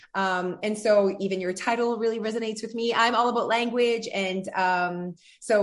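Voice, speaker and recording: Here a woman talks in a French accent. She keeps a moderate pace. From French-speaking background. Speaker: podcast host, weight loss coach. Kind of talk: casual interview. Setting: video call. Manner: animated.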